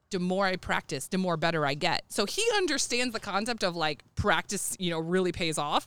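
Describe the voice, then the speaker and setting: Speaking at a fairly quick pace with hardly any pauses, a woman with an American accent uses an ordinary speaking voice at medium pitch, with ordinary pitch variation and very even loudness. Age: 30s. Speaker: youth softball coach and mom. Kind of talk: casual chat.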